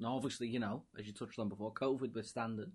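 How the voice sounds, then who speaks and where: The background is quiet as a man speaks at a medium pitch. His intonation stays fairly even. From England. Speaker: podcast host. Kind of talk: casual interview chat.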